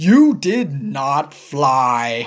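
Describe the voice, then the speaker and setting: Someone uses a put-on character voice pitched low-to-middle. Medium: read story. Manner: flat, doubting.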